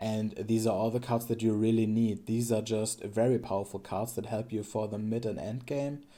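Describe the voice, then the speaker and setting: With a German accent, a man speaks in a dark, mellow tone at medium pitch. His intonation is flat and monotone, and the recording is very clean with a silent background. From Germany. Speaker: streamer and card game content creator. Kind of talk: casual gameplay commentary. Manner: halting, many fillers and restarts.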